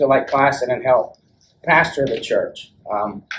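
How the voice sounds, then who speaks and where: A Southern US accent at a moderate pace. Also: man. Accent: Southern US (Georgia). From US South, Rome, Georgia. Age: 40s. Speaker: church member giving testimony. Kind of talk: testimony. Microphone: speaking without the microphone.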